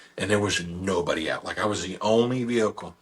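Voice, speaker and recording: A man talks with vocal fry. The background is quiet. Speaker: radio show host and local elected official. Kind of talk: casual chat.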